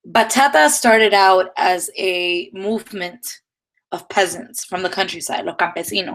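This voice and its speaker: With a slight Dominican accent, a woman speaks in fairly even intonation. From Dominican Republic. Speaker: dance teacher. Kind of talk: live-streamed lecture. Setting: live stream.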